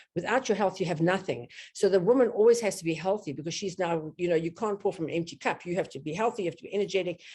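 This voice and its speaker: Her tone dark and mellow, a woman speaks very fast at a fairly low pitch. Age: 70s. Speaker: business owner. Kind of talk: interview.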